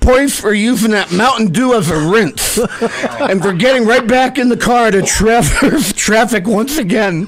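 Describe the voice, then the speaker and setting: Amid noticeable background noise, a man with a high pitch talks with hardly any pauses. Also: ordinary pitch variation, very even loudness. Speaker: radio host. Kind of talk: humorous monologue narration.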